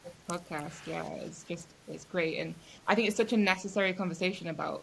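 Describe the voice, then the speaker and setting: Speaking with a British accent, a woman at a medium pitch uses fairly even intonation and some vocal fry. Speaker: clinical therapist. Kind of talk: casual chat.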